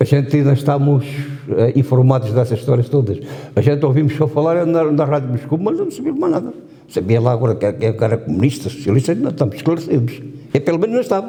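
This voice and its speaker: This man speaks at a very fast pace in a fairly high pitch. His intonation is lively, and his loudness stays very even. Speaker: war veteran. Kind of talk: testimony.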